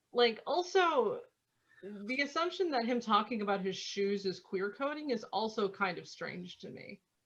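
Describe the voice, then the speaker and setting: Speaking at a moderate pace in a Midwestern US accent, a fairly high-pitched woman shows very wide pitch swings and big swings in loudness. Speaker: podcast co-host. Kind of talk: casual chat.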